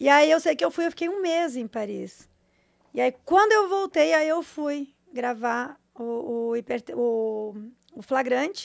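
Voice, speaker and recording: Very wide pitch swings and big swings in loudness at a fairly slow pace, over a quiet background. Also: woman, high pitch for a woman. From Brazil, interior São Paulo and rural southern Brazil. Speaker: former adult actress and content creator; former adult actress, content creator. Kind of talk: casual chat. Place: studio. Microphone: studio mic.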